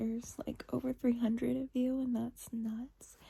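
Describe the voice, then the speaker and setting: A woman speaks in a soft-spoken way. Her pace is fairly slow. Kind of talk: ASMR soft-spoken channel update.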